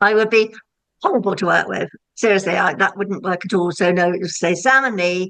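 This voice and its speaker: Her pitch rises and falls in an ordinary manner. The woman keeps a moderate pace. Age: 60s. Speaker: self-employed estate agent. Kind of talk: podcast interview. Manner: animated.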